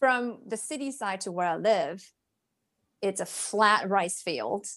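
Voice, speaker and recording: This woman has a medium-pitched voice and a Japanese accent. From rural Japan, Ishinomaki in Miyagi. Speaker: cross-cultural business liaison. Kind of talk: interview.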